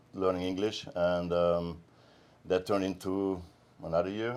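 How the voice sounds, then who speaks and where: A man with a German accent speaks at a moderate pace in a very deep, low voice, his intonation flat and monotone, on a very clean recording with a silent background. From Austria, small mountain town. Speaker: med spa co-founder, massage therapist. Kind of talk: interview.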